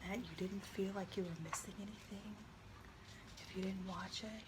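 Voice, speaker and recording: A woman whispers in a relaxed tone while noticeable background noise continues. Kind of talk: ASMR soft spoken talk to camera. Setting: studio, rain in the background. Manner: soft-spoken, slow, relaxed.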